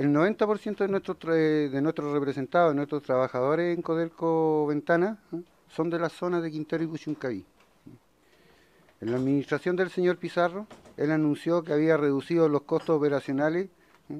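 A man with a Chilean accent, a moderate pace, ordinary pitch variation and long, frequent pauses. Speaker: union representative. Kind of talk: formal testimony to committee. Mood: concerned, earnest. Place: meeting room. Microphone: podium.

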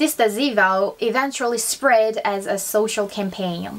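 A woman with a fairly high pitch talks very slowly, with lively intonation. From South Korea. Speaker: YouTuber teaching Korean. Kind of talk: bilingual educational vlog.

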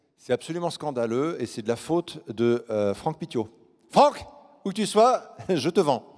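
Against a quiet background, a man with a fairly high pitch speaks at a fairly slow pace in an animated tone, his pitch swinging very widely. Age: 40s. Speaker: actor at a fan convention. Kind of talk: live Q&A panel. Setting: stage with audience. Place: stage. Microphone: handheld.

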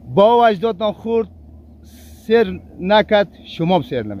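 A man with vocal fry, in a dry sound with no echo over light background noise. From Afghanistan. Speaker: farmer; interviewee. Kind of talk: interview answer. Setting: outdoors. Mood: aggrieved, pleading complaint. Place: farm.

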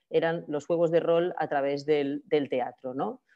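The voice has a dark, mellow tone over a quiet background. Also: woman. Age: 30s. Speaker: media artist and creative programmer; presenter. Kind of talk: conference talk over video call. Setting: video call. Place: home room. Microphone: video call.

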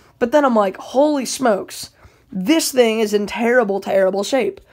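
With a quiet background behind her, a woman speaks at a fairly quick pace. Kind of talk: casual vlog chat. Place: home room. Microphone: phone near.

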